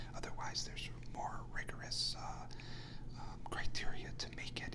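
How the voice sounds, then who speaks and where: A man whispers with an American accent. Noticeable background noise is present. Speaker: ASMR artist. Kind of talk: ASMR golf news ramble. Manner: whispered.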